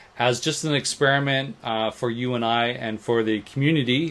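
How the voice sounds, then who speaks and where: Monotone, flat delivery from a man with a Canadian accent, medium pitch, and a moderate pace. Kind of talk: casual, hesitant.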